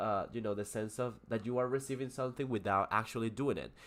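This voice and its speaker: In a Spanish accent, a man talks very fast with monotone, flat intonation. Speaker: English teacher. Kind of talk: live stream lesson. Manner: halting, many fillers.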